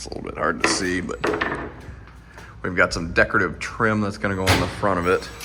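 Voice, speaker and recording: A man's very deep, low voice at a very fast pace, ordinary pitch variation, audible room echo and noticeable background noise. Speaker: escape room builder. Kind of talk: casual build vlog narration.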